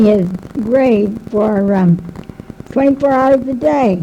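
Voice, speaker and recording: At a very slow pace, a woman speaks with ordinary pitch variation. Noticeable background noise runs behind her. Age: 70s. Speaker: local historian. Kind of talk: talk to an audience, interviewing a guest. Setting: public talk with loudspeaker.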